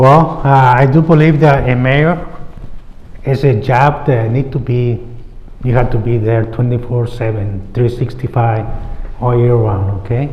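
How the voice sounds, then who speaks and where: A man with a non-native accent speaks fairly slowly at a medium pitch with fairly even intonation. Noticeable background noise and audible room echo surround him. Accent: noticeable foreign. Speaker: mayoral candidate. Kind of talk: candidate forum answer.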